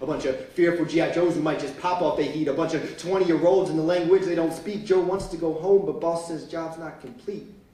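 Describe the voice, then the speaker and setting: A man with a high pitch at a fairly quick pace, fairly even intonation and hardly any pauses, plus noticeable background noise. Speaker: spoken word poet. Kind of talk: live spoken word performance. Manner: rhythmic, rhyming delivery.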